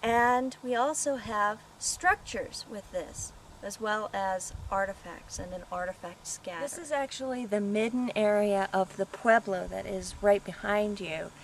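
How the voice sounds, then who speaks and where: With an American accent, a woman speaks at a fairly slow pace at a medium pitch, her pitch varying in an ordinary way, over noticeable background noise. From Colorado, USA. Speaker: archaeologist. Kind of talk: casual talk to camera, video audition. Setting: outdoors.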